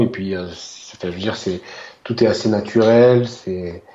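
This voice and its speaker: A man's fairly slow speech, with ordinary pitch variation, comes through noticeable background noise. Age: 30s. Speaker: tech enthusiast. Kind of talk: casual interview. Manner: halting, many repetitions.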